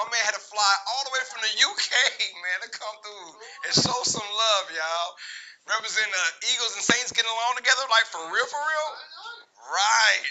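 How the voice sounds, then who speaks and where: Loud and animated, a man with a high pitch talks at a fairly quick pace broken by long, frequent pauses, over noticeable background noise. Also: ordinary pitch variation. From Louisiana, Lake Charles. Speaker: sports podcast host. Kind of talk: casual chat. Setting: live stream, in person at home.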